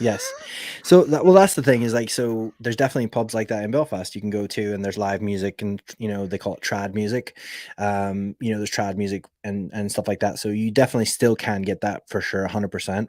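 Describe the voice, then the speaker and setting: A man with an American accent has a normal speaking voice, fairly low in pitch and fairly quick in pace. The recording is very clean and dry, close with no echo, and the background is silent. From Alaska, US. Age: 30s. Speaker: podcast host. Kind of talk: casual chat.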